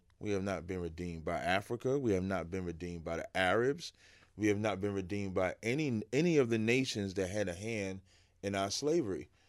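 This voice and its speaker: Talking at a fairly quick pace in a normal speaking voice, a man with an American accent and a fairly low pitch shows ordinary pitch variation in a very clean recording with a silent background. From New Jersey, Jersey City. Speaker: religious teacher. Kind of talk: interview.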